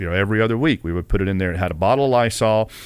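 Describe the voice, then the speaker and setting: A man speaks with a Southern US accent. His pitch is medium, with ordinary variation. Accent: Southern US (Georgia). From US South, Kennesaw, Georgia. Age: 40s. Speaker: college football head athletic trainer. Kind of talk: podcast interview.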